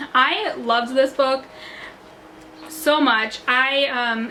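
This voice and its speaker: A high-pitched woman's voice with an animated tone over noticeable background noise. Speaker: book youtuber. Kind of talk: casual vlog talk. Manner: fast.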